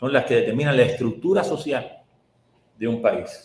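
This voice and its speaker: A man at a moderate pace, with audible room echo. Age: 70s. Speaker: economist, professor. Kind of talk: interview. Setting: video call.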